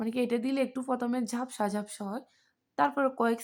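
The woman's voice is high in pitch with fairly even intonation, on a very clean recording with a silent background. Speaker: domestic worker vlogger. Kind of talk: vlog narration. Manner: casual, conversational.

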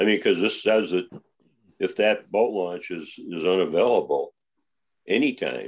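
Long, frequent pauses break up this man's otherwise moderate pace. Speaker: committee member. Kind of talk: committee meeting. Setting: video call.

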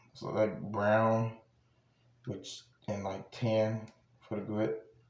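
Audible room echo surrounds a man speaking with an American accent. He talks at a very slow pace. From New Jersey. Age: 20s. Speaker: YouTuber. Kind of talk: casual vlog showing a purchase. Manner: casual, rambling with fillers. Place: home room. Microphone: phone near.

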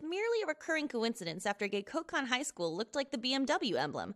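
A woman speaks very fast in a high, upbeat voice with very wide pitch swings. The sound is dry and close, with no echo. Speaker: voice actor. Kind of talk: scripted trivia narration for animated video.

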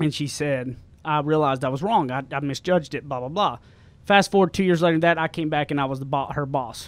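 A plain, everyday voice moves at a fairly quick pace with ordinary pitch variation and a dry sound with no echo. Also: man, fairly high pitch for a man. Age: 30s. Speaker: podcast co-host, published author. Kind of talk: casual chat. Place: studio.

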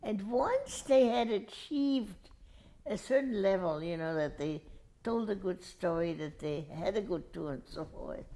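With a dark, mellow tone, a woman talks at a very slow pace, her pitch making very wide swings. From Switzerland, raised in northern Italy. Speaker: winery tour guide. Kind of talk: interview answer. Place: home room. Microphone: lapel.

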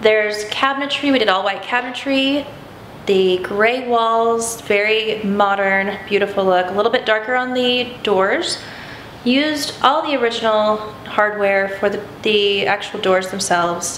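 A woman talks at a fairly slow pace with ordinary pitch variation, audible room echo and light background noise. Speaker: renovation contractor. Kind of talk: home tour explanation. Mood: relaxed, proud. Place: kitchen.

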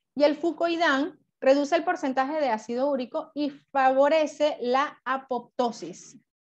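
Against a quiet background, a woman speaks at a high pitch. Her pace is fairly slow, with ordinary pitch variation. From Venezuela. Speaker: network marketing distributor. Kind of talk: product training presentation. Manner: halting, many fillers. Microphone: video call.

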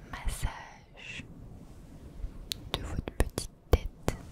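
A soft-spoken woman whispers at a very slow pace. Loud background noise surrounds her. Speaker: ASMR creator. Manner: soft close-mic French whisper. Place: home room. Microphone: studio mic.

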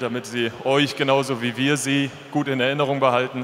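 There is light background noise. A man talks in a monotone, flat intonation. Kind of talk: farewell speech to fans. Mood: emotional, slightly hesitant. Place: stadium. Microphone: handheld.

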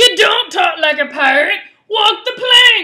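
Shouting in a put-on character voice at an extremely high pitch, the speaker goes at a fairly slow pace. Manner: angry, commanding.

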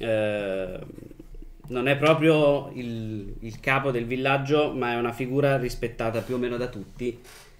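Light background noise sits behind a man who talks at a fairly slow pace. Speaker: game master and podcast host; podcast host. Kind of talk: tabletop role-playing game session. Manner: playful. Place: home room.

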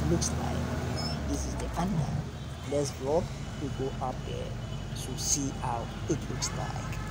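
A man's fairly slow speech comes through loud background noise. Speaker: vlogger narrating a drive. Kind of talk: casual vlog commentary. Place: car. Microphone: phone near.

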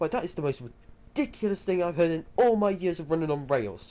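Putting on a character voice, a man speaks at a very fast pace in a wheezy, high-pitched tone. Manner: indignant, pompous.

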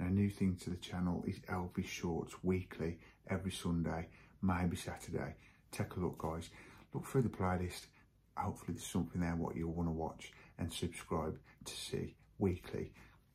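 A man speaks at a moderate pace in a very deep, low voice that is somewhat breathy, with fairly even intonation. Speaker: hobby model-building vlogger. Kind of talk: casual vlog chat. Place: garage. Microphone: phone near.

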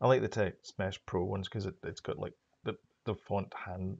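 A man with a fairly low pitch and vocal fry speaks at a moderate pace, his intonation fairly even. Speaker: programming tutorial creator; programming tutor. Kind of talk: tutorial. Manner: hesitant, many fillers. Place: home room.

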